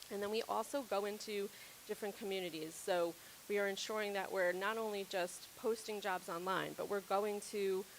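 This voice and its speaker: The speaker is a woman with a medium pitch. Her intonation stays monotone and flat. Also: moderate pace. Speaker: healthcare diversity and inclusion strategist. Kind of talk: conference presentation. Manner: loud.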